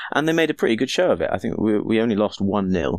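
Recorded very cleanly against a silent background, a man speaks at a fairly quick pace with vocal fry. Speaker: football fan guest. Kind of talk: casual chat.

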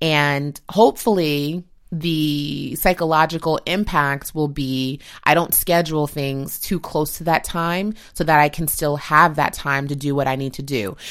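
A woman's very deep, low voice at a fairly slow pace with ordinary pitch variation, on a very clean recording with a silent background. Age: 30s. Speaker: podcast host and beauty editor. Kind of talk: solo lifestyle podcast monologue. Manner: casual, conversational.

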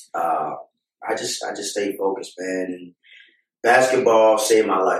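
This man has a plain, everyday voice with an American accent, a fairly low pitch and a fairly slow pace. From Baltimore, US. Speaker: former basketball player. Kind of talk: casual interview.

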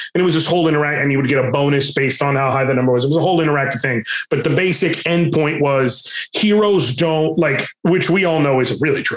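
At a very fast pace with hardly any pauses, a man talks at fairly high pitch with ordinary pitch variation and very even loudness. Audible room echo and noticeable background noise fill the recording. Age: 30s. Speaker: Twitch streamer and voice actor. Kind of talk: casual interview chat.

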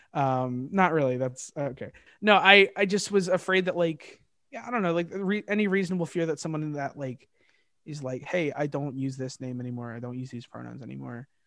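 A man with a bright, sharp tone and fairly high pitch talks at a fairly quick pace, his intonation lively and his loudness swinging widely. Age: 20s. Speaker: musician. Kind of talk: casual chat. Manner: halting.

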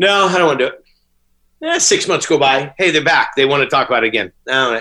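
A man uses a raised, projected voice with a bright, sharp tone. The background is quiet. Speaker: restaurant owner. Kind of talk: casual chat.

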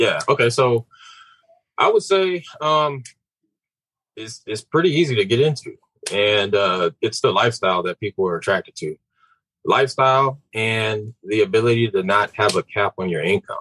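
A man's medium-pitched, bright, sharp voice with an American accent, very wide pitch swings, a moderate pace, long, frequent pauses, and a dry, close sound with no echo. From Houston, Texas. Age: 30s. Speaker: realtor and real estate investor. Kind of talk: casual interview chat.

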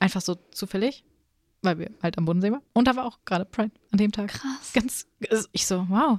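A woman speaks at a fairly quick pace with long, frequent pauses and ordinary pitch variation, in a dry, close sound with no echo. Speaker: podcast host. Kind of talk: casual chat.

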